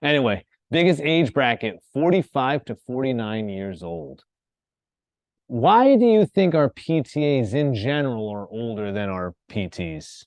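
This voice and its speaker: A man's medium-pitched voice with an American accent, a fairly slow pace, and very wide pitch swings. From US Northeast, Rhode Island. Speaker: college instructor. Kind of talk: lecture.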